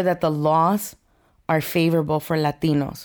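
A woman's fairly low voice, a plain, everyday voice, at a moderate pace on a very clean recording with a silent background. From Mexico (Durango) and Los Angeles. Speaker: mortgage branch manager. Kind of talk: interview.

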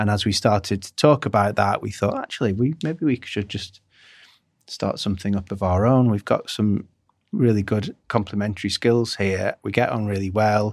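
A man's fairly low voice in a northwestern English accent, with ordinary pitch variation, on a very clean recording with a silent background. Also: moderate pace. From northwest England. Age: 40s. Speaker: design agency founder. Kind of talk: interview conversation.

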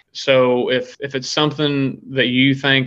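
Monotone, flat intonation with an American accent. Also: man. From Missouri, near Kansas City. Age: 20s. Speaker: country singer-songwriter. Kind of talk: casual interview chat.

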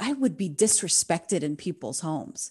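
In an American accent, a woman talks at a moderate pace with a fairly low pitch. Her tone is dark and mellow, and the background is quiet. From United States, Palestinian immigrant family. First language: Arabic. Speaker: podcast host. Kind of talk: personal monologue.

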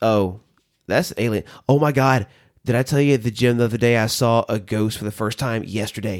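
Recorded very cleanly against a silent background, the speaker has a Southern US accent, a moderate pace and fairly even intonation. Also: man, medium pitch for a man. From US South. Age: 30s. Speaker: podcast host, former minister. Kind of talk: casual chat.

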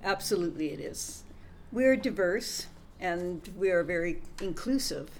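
In a Canadian accent, a woman with a medium pitch and lively intonation speaks at a fairly slow pace, her loudness swinging widely, with audible room echo. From Canada. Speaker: podcast co-host. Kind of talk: casual chat.

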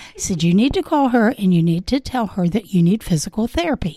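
Somewhat breathy with a dark, mellow tone, a woman at a medium pitch talks at a fairly quick pace with very wide pitch swings, in a dry, close sound with no echo. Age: 70s. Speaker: nurse and patient giving testimonial. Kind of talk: testimonial interview.

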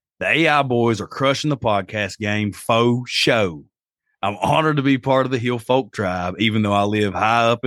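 A man's medium-pitched voice, showing ordinary pitch variation, proceeds at a moderate pace. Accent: Appalachian. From Appalachia. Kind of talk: casual chat, storytelling.

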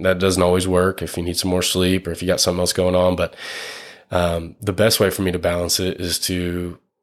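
The recording is very clean, with a silent background. The speech moves at a fairly quick pace. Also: man. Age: 20s. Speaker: runner. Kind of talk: casual chat. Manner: animated.

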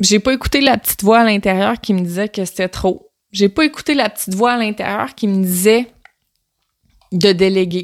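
In a Quebec accent, a woman talks at a moderate pace with a medium pitch and an animated tone. Her pitch variation is ordinary, and the sound is dry and close with no echo. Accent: Québécois French. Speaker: podcast host, personal development coach. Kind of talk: solo podcast monologue.

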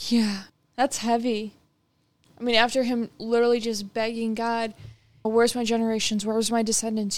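In a fairly high pitch, a woman talks at a fairly quick pace with monotone, flat intonation. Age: 20s. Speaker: bible study podcast co-host. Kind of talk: casual bible study discussion.

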